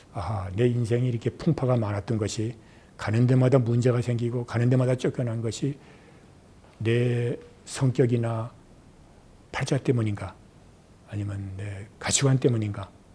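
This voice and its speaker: Somewhat breathy, a man talks at medium pitch with a dark, mellow tone and fairly even intonation. His pace is moderate, broken by long, frequent pauses. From Korea, Seoul. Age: 70s. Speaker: retired journalist and broadcaster. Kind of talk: oral history interview.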